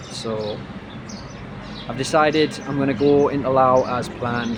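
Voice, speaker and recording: Amid noticeable background noise and audible room echo, a man with a northeast English accent speaks with fairly even intonation. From northeast England. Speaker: travel vlogger. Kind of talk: casual travel vlog.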